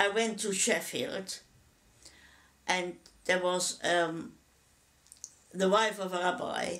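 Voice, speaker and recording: Speaking with a German accent at a very slow pace, a woman keeps a medium pitch with ordinary pitch variation. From Germany. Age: 80s+. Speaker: Holocaust survivor. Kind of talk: testimony. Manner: halting, with repetitions.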